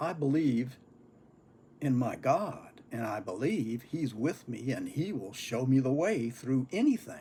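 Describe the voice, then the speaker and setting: The man's somewhat breathy voice has a dark, mellow tone at medium pitch, with lively intonation and a fairly slow pace. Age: 70s. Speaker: pipe-smoking vlogger. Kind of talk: casual monologue.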